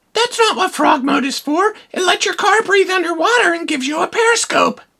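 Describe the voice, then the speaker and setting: This is a squeaky, cartoonish character voice from a woman, pitched extremely high. She talks at a fairly quick pace with lively intonation. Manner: dry, sarcastic.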